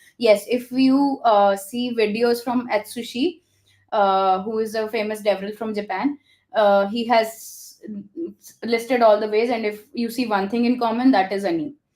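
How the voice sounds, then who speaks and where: A woman with an Indian accent, fairly high pitch, fairly even intonation, fairly slow pace. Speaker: developer relations founder. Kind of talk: interview conversation. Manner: hesitant with many fillers.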